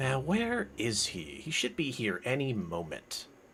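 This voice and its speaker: A man puts on a character voice at a medium pitch. He talks at a fairly slow pace over clear background noise. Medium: actual play. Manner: impatient, distracted.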